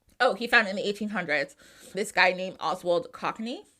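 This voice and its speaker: A woman with an American accent speaks at a fairly quick pace in an animated tone, on a very clean recording with a silent background. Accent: New Jersey, strong at moments. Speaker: podcast host. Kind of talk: casual podcast storytelling.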